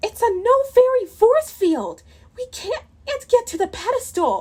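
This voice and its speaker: Using a put-on character voice, a woman goes squeaky and extremely high in pitch. She takes a fairly slow pace. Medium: read story. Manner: gentle and polite.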